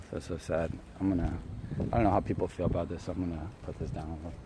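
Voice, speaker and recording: A man's somewhat breathy voice with an American accent and fairly even intonation. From US suburbs, partly Japan. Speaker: live streamer. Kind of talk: casual live stream chat. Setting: outdoors, walking. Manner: halting, many restarts.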